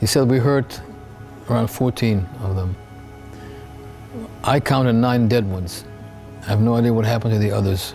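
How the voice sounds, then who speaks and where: With music in the background, the voice moves at a moderate pace with ordinary pitch variation. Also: man. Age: 70s. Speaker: war veteran, kibbutz attack survivor. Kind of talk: interview answer.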